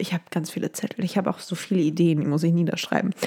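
With ordinary pitch variation, a woman's voice sits at a medium pitch. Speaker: podcast host. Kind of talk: casual solo gossip monologue. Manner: animated, switches pitch for impressions.

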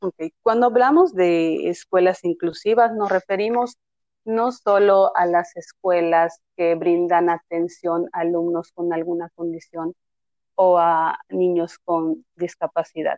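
Speaking at a very slow pace, a woman has a fairly low pitch and a dark, mellow tone. Her intonation is fairly even, and the sound is dry and close with no echo. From Yucatán, Mexico (Tekax). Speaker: special education teacher. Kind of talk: interview, explanatory.

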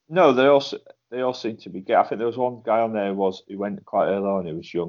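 A man speaks at a fairly quick pace in a plain, everyday voice, his pitch fairly low. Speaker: co-host. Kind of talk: casual banter podcast chat.

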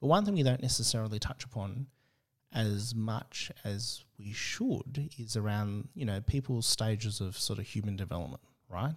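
This man speaks at a medium pitch with ordinary pitch variation and a somewhat breathy sound. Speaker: agile consultant. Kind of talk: casual interview chat.

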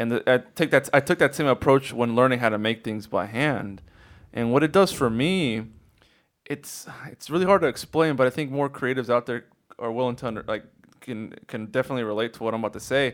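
This man has an unremarkable speaking voice at medium pitch. He talks at a fairly quick pace with ordinary pitch variation. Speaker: product designer and sewer. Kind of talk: casual interview chat.

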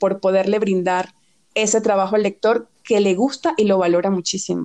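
With a Venezuelan accent, a woman speaks at medium pitch in a dark, mellow tone and a monotone, flat intonation. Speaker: fashion and beauty editor. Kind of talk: podcast interview.

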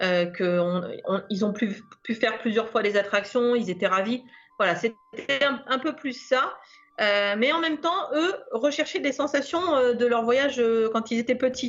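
Lively intonation from a woman at a high pitch, fairly slow pace and very even loudness. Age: 50s. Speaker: listener sharing a trip report. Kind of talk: casual interview.

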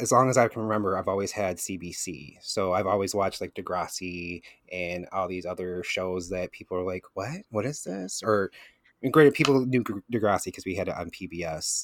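A man talks in a very deep, low pitch with a Michigan accent. His pace is moderate and his pitch variation ordinary. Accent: Midwestern American (Michigan). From Michigan, Flint. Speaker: podcast host guest. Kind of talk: casual chat. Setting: video call.

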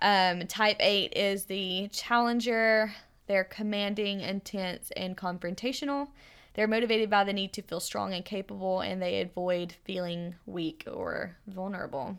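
A woman's plain, everyday voice, medium in pitch, fairly slow and fairly even in intonation, in a very clean recording with a silent background. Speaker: podcast host. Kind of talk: casual chat. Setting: home recording.

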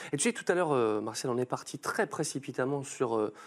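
Here a man speaks at a fairly quick pace. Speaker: stream host and voice actor. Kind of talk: casual chat, sponsored intro. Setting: studio, live stream with chat. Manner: animated, jokey.

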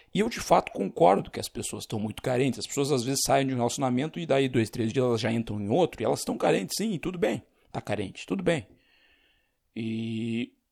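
A man with a plain, everyday voice speaks at a medium pitch and a fairly quick pace, his intonation lively. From Rio Grande do Sul, Brazil. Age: 30s. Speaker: podcast host. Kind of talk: solo monologue podcast. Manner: casual, unscripted.

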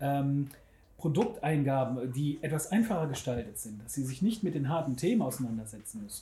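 A man with a fairly high pitch and a dark, mellow tone speaks at a moderate pace. His somewhat breathy voice has lively intonation, and audible room echo surrounds it. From Germany, Bergisches Land (Wermelskirchen/Remscheid). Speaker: web designer. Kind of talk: casual interview. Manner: halting, many fillers.

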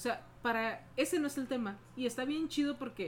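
Speaking at a moderate pace, a woman uses lively intonation in a high pitch. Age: 40s. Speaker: podcast co-host. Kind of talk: casual chat.

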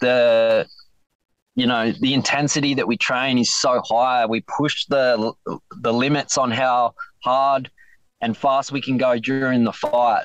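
Medium pitch from a man, fairly slow and very even in loudness, with a dry, close sound and no echo. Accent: Australian. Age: 20s. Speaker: MMA fighter. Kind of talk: interview. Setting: phone call from inside his van. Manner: soft-spoken.

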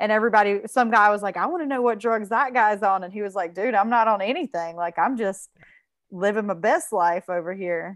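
Against a quiet background, a woman with an unremarkable speaking voice talks fairly quickly at medium pitch, using ordinary pitch variation. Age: 40s. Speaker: guest. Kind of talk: casual conversation.

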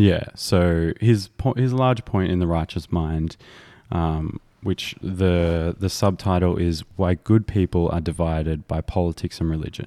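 A man with an Australian accent speaks at a fairly slow pace in a very deep, low pitch, his tone dark and mellow with ordinary pitch variation. The recording is very clean with a silent background, and the sound is dry and close with no echo. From rural Australia. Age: 20s. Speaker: podcast host. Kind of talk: casual chat.

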